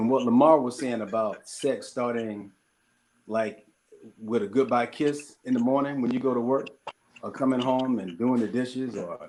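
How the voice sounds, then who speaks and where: A man with a Mississippi accent, at a moderate pace, with fairly even intonation. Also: medium pitch for a man. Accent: Southern US (Mississippi). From US South, southern Mississippi. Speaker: panelist. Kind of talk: panel discussion.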